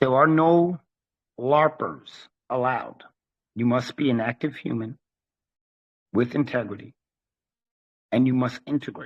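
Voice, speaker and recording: A man's medium-pitched voice at a fairly slow pace, with ordinary pitch variation and long, frequent pauses. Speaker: head of a private trust group, online channel owner. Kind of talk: casual monologue to viewers. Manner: blunt, forceful.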